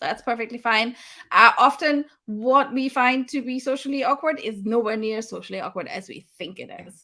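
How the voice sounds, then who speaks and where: A woman speaks with a high pitch and ordinary pitch variation. Her tone is animated, bright and sharp. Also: very clean recording, silent background. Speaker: livestream host. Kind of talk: casual chat. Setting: livestream. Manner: loud.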